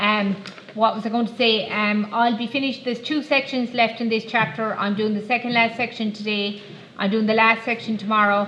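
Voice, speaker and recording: Over noticeable background noise and audible room echo, a woman speaks fairly quickly at a fairly high pitch with fairly even intonation. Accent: Irish. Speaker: maths teacher. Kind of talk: classroom lesson.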